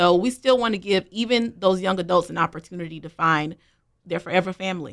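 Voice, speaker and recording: A woman's unremarkable speaking voice, fairly quick, with ordinary pitch variation and big swings in loudness. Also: medium pitch for a woman. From North Carolina. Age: 20s. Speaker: foster family recruitment specialist. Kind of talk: radio interview.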